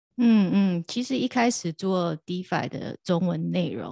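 In a very clean recording with a silent background and a dry, close sound with no echo, a woman speaks at a fairly slow pace with a fairly low pitch, vocal fry and lively intonation. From Taiwan. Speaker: crypto podcast host and DeFi content creator. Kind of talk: casual interview.

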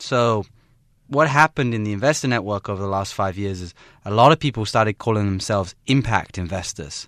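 Talking at a fairly quick pace, a man uses an ordinary speaking voice with a fairly low pitch and ordinary pitch variation. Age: 20s. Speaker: global director of a student social enterprise competition. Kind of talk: radio interview. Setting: radio studio.

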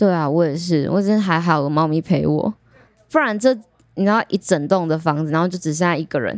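A woman with an ordinary speaking voice talks at a fairly quick pace and fairly low pitch. The sound is dry and close with no echo. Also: ordinary pitch variation. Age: 20s. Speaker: aquarium service department supervisor. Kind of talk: casual chat.

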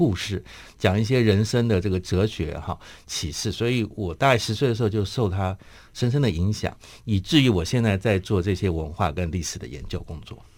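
A man with an unremarkable speaking voice talks at a fairly quick pace in a fairly low pitch with ordinary pitch variation. The recording is very clean, with a silent background. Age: 50s. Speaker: memorial foundation chairman, grandson of a general. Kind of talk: radio interview, personal reminiscence. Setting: radio studio.

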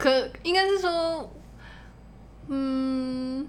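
A woman mumbles. Audible room echo surrounds her voice. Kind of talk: casual chat. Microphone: too close to the mic.

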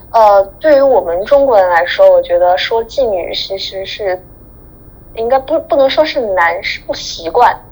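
A woman's fairly high voice with very wide pitch swings at a fairly slow pace, amid noticeable background noise. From China. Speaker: guest living abroad. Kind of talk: casual chat.

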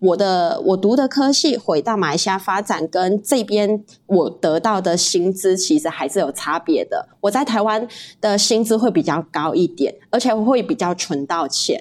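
A woman speaks at a moderate pace with a medium pitch. Her pitch swings very widely. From Malaysia. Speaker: guest, Malaysian living in Taiwan. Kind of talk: casual interview chat.

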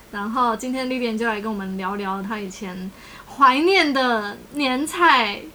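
A woman at a fairly high pitch and fairly slow pace, lively intonation and big swings in loudness, amid noticeable background noise and audible room echo. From Taiwan, Tainan. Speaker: podcast host. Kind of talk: casual chat.

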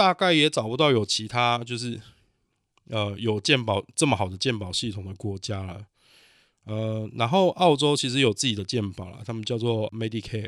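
On a very clean recording with a silent background, a man at medium pitch speaks at a moderate pace with ordinary pitch variation and big swings in loudness. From Taiwan. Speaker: podcast host, cook. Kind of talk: solo podcast monologue. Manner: halting, many fillers.

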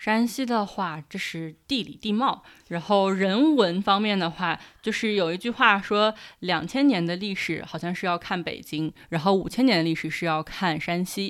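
Here a woman uses a normal speaking voice at medium pitch and a moderate pace. The recording is very clean, with a silent background. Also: ordinary pitch variation. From Shanxi, Taiyuan. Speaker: internet company employee. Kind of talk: casual interview.

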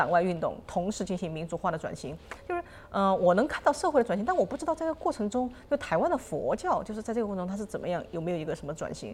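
Very fast speech comes from a woman at medium pitch. Her pitch swings very widely. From mainland China. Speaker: podcast host. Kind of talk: interview.

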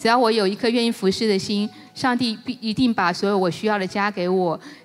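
With noticeable background noise behind her, a woman speaks at a fairly quick pace in a fairly high pitch, with ordinary pitch variation. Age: 50s. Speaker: church member giving testimony. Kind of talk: testimony.

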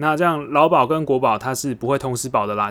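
A man's unremarkable speaking voice at medium pitch, fairly quick pace and ordinary pitch variation. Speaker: podcast host. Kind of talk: solo explainer podcast. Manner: casual, many filler words.

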